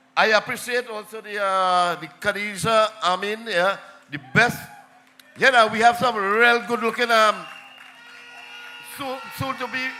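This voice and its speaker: Speaking slowly in a raised, projected voice, a man with a high pitch shows ordinary pitch variation, big swings in loudness, and long, frequent pauses. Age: 70s. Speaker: local councillor. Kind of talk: political rally speech.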